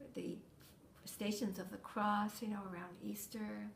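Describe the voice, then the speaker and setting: Speaking at a very slow pace, a woman is heard over noticeable background noise with audible room echo. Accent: American. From New England, US (Massachusetts). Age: 70s. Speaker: former nun. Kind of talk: interview.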